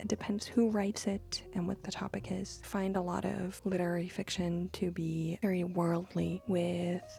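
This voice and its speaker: A woman's voice with noticeable background noise. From Romania (Belgian family, small village). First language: Flemish. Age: 20s. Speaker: book youtuber. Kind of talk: casual Q&A vlog.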